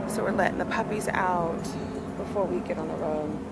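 A woman talks over loud background noise. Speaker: vlogger mom. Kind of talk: casual vlog chat. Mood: calm, slightly emotional. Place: garden. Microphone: phone near.

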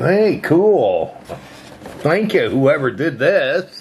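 Here a man speaks at a very slow pace. Light background noise sits behind him. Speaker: vlogger unboxing a gift from a subscriber. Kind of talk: casual vlog chat. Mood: pleased, amused. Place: home room.

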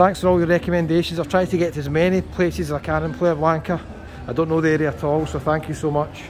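Over background music, a man talks at a very fast pace with monotone, flat intonation. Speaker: travel vlogger. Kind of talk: casual vlog chat. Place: street. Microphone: phone near.

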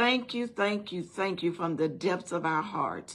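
A woman's fairly low voice at a fairly slow pace, with ordinary pitch variation. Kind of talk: prayer. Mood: earnest, reverent. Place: home room. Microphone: phone near.

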